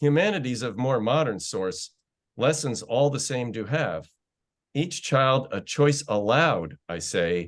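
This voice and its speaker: This man has a medium pitch, vocal fry, very wide pitch swings, and a fairly slow pace. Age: 70s. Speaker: poet. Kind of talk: poetry reading.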